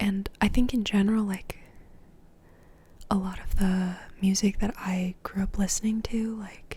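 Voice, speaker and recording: Soft-spoken and somewhat breathy, the voice has a dark, mellow tone and monotone, flat intonation, moving at a fairly slow pace with long, frequent pauses. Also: woman, medium pitch for a woman. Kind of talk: ASMR ramble.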